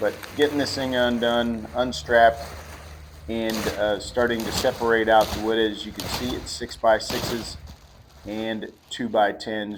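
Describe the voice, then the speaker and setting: The speech moves at a fairly slow pace with fairly even intonation. Noticeable background noise is present. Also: man. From Appalachia. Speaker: woodworker and furniture maker. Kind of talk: casual vlog narration. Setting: workshop. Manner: halting, many fillers.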